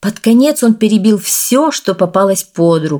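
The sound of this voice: Lively intonation in an unforced reading voice.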